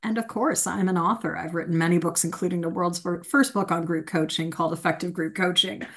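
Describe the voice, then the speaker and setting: Ordinary pitch variation in a woman's voice over a quiet background. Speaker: host, coach. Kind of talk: webinar presentation. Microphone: video call.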